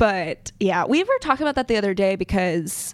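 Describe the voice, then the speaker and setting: A woman with an American accent talks at a moderate pace and a medium pitch, her voice swinging very widely in pitch. The sound is dry and close, with no echo. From US South, Montgomery, Alabama. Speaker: entrepreneur and songwriter. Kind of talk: casual interview chat.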